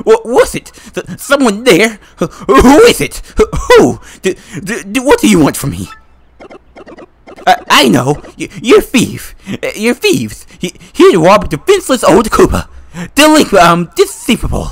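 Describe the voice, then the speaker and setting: A man's put-on character voice at an extremely high pitch, fairly slow, with long, frequent pauses. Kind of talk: comic overacting. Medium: game stream. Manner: panicky, rambling, forgetful.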